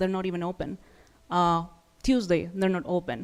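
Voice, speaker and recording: Speaking with a non-native accent, a woman talks at a medium pitch and a moderate pace. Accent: foreign. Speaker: resident giving public comment. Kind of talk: public comment at city meeting.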